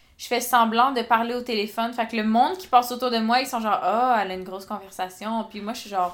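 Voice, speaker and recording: A woman talks at a fairly quick pace with fairly high pitch. Her loudness swings widely. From rural Quebec. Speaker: podcast co-host. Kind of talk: casual chat. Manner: animated.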